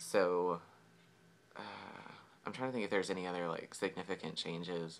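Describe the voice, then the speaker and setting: Speaking at a fairly quick pace with an American accent, a man with a very deep, low, resonant voice uses ordinary pitch variation and leaves long, frequent pauses. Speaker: vlogger. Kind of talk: casual vlog. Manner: hesitant, many fillers.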